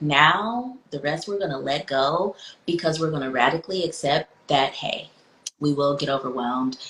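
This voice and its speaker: Clear background noise runs behind speech delivered fairly slowly. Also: woman. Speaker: psychologist and podcast host. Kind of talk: podcast conversation. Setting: virtual book tour conversation.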